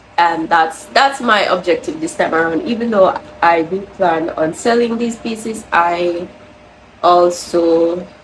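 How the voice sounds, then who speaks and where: A woman with a Jamaican accent speaks fairly slowly at a medium pitch, her intonation lively. There is noticeable background noise. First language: Jamaican Patois. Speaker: crochet vlogger. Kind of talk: casual vlog talk.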